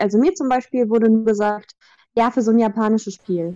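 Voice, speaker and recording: Over a quiet background, a woman talks at a fairly quick pace in a fairly high pitch, with ordinary pitch variation. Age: 20s. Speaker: voice actress. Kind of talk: interview.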